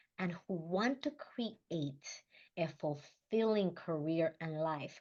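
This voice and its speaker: Against a quiet background, a woman with a Spanish accent speaks at a very slow pace in a fairly low pitch. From Dominican Republic. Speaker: leadership coach. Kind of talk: motivational talk.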